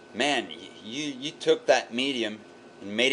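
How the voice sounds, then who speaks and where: Speaking at a fairly slow pace, a man with a French Canadian accent holds a medium pitch. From Quebec, Canada. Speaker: vlogger, web developer. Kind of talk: casual video response monologue. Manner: animated.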